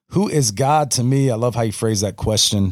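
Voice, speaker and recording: Over a silent background in a very clean recording, a man with a Southern US accent speaks with ordinary pitch variation. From US South, North Florida. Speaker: pastor. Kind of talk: casual chat. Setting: home studio. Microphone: good mic, recorded locally.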